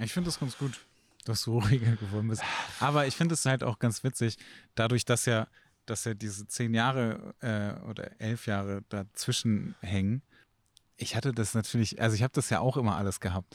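A man with a plain, everyday voice speaks at medium pitch and a moderate pace with ordinary pitch variation, in a dry, close recording with no echo that is very clean with a silent background. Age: 40s. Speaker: photographer. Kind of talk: casual chat.

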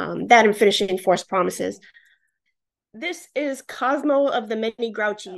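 An American accent at a moderate pace, lively intonation and a quiet background. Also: woman. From New York, the Bronx. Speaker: romance author. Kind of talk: interview.

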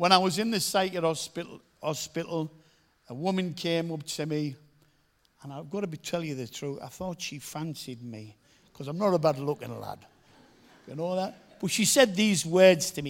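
High-pitched male voice with a Teesside accent at a moderate pace, with big swings in loudness. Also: ordinary pitch variation. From northern England, Middlesbrough. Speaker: evangelist. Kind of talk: testimony.

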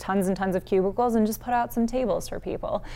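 With a Midwestern accent, a woman talks at a fairly quick pace in fairly even intonation. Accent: US Midwest (Ohio). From northeast Ohio. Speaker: news reporter. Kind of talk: casual interview chat.

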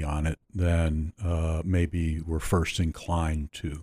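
On a very clean recording with a silent background, a man with an American accent speaks with a very deep, low pitch and a dark, mellow tone, the sound dry and close with no echo. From Pittsburgh, southwestern Pennsylvania. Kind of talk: interview. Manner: hesitant, many fillers.

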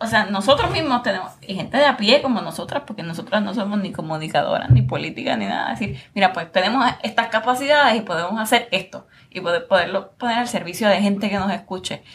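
With music playing behind her, a woman speaks very fast at a medium pitch, her intonation lively and her delivery nearly free of pauses. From Puerto Rico. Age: young. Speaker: lawyer, podcast host. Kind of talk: interview conversation.

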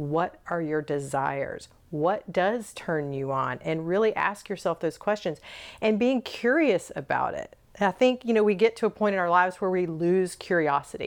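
A woman with an American accent and a plain, everyday voice speaks at a moderate pace, at medium pitch, with lively intonation over a quiet background. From US South. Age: 50s. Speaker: intimacy and leadership coach. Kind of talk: casual interview chat. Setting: recorded in her bed.

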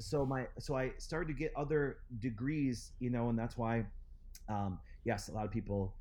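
A man with an Upper Midwest accent talks at a moderate pace and medium pitch. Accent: Upper Midwest American. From Wisconsin. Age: 40s. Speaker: chiropractor and clinic founder. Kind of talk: interview.

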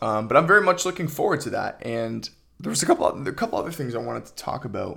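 A man speaks at a very fast pace with big swings in loudness. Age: 20s. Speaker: podcast host and aspiring filmmaker. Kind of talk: solo casual monologue. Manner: casual, with frequent fillers and repetitions.

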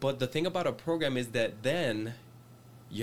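Spanish-accented speech with ordinary pitch variation. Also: man. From Puerto Rico, raised in Reading, Pennsylvania from age seven. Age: 30s. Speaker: youth pastor. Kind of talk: casual chat.

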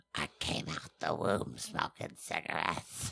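A put-on character voice with a raspy edge. It moves at a fairly slow pace. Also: man, very deep, low pitch for a man.

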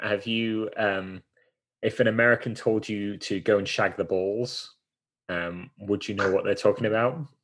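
A man with an English accent speaks with ordinary pitch variation. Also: quiet background. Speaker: podcast host. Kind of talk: casual chat.

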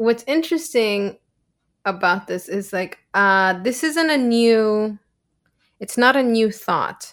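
A woman speaks very slowly with a Spanish accent, her fairly high pitch rising and falling in a lively way. The recording is very clean, with a silent background. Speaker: podcast co-host on mental health. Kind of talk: casual chat.

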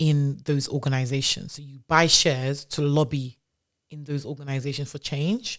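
A woman speaks at a moderate pace in a very deep, low voice with fairly even intonation and big swings in loudness. The recording is very clean, with a silent background. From Nigeria. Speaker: startup founder. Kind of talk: casual interview chat.

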